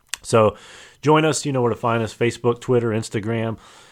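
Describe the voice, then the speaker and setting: A man with a plain, everyday voice speaks at a fairly quick pace, medium in pitch and fairly even in intonation, on a very clean recording with a silent background. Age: 40s. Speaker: podcast co-host. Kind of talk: casual chat.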